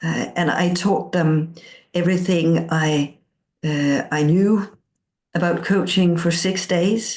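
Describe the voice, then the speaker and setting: At a very slow pace, a woman speaks somewhat breathily in a fairly low pitch with fairly even intonation against a quiet background. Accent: Danish. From Denmark. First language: Danish. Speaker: coaching teacher. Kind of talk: interview.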